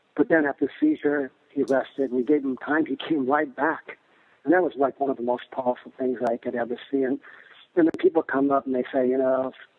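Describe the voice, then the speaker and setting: This is an unremarkable speaking voice. The man's pitch is fairly high. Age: 60s. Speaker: martial arts instructor. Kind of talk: interview answer.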